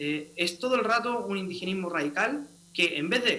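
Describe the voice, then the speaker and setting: Over noticeable background noise and audible room echo, a man speaks at a high pitch in a raised, projected voice. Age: young. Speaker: constitutional convention delegate. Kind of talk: political debate.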